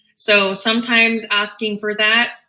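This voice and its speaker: Her voice has a bright, sharp tone as the woman talks at a fairly slow pace. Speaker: special education advocate. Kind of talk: webinar presentation. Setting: online webinar. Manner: many filler ums.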